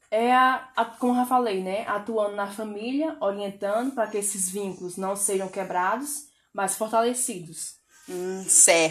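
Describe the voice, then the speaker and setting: Using an ordinary speaking voice, the woman speaks at a fairly slow pace and a medium pitch with ordinary pitch variation. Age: 20s. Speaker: social worker. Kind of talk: interview.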